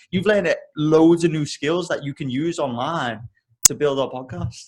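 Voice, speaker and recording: Here a man speaks with an English accent. His pitch is fairly high and his pace moderate. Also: ordinary pitch variation. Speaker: podcast co-host. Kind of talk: casual chat.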